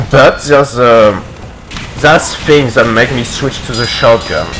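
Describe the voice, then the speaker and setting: At a fairly slow pace, a man speaks with a non-native accent against noticeable background noise. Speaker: competitive video game player. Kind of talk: gameplay video commentary.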